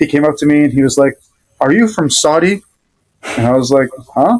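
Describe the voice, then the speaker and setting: With a Rhode Island accent, a man with a fairly high pitch speaks at a moderate pace in a dry, close sound with no echo. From Rhode Island, US. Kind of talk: casual interview chat. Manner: hesitant, many fillers.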